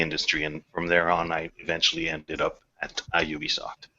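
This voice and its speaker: A man with a very deep, low pitch speaks at a fairly quick pace. His intonation is monotone and flat, with a non-native accent. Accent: noticeable non-native. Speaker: game writer. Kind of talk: podcast interview. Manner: halting, many repetitions.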